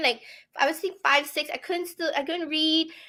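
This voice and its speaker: A woman with a non-native accent speaks in a raised, projected voice, high-pitched for a woman. Her tone is bright and sharp. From outside North America. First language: not English. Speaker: comic creator. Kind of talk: interview.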